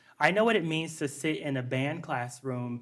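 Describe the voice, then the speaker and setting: In an American accent, a man speaks at a moderate pace with fairly high pitch and ordinary pitch variation. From US Midwest, Dubuque Iowa. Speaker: school board candidate. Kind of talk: candidate forum debate answer.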